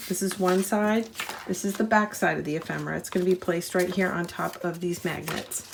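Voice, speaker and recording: Noticeable background noise sits behind a woman's voice. She speaks at a medium pitch with fairly even intonation. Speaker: crafting tutorial host. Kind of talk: tutorial. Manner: casual, with fillers.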